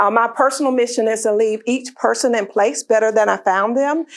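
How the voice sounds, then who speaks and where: A woman with a Southern US accent talks with ordinary pitch variation. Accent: Southern American. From US South, northwest Florida. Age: 60s. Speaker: author and leadership speaker. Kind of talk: talk to a luncheon audience.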